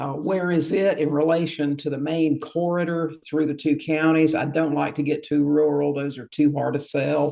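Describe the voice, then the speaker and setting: A man talks at a fairly high pitch with monotone, flat intonation. His pace is moderate, with hardly any pauses. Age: 60s. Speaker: real estate investor. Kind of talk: interview. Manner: halting.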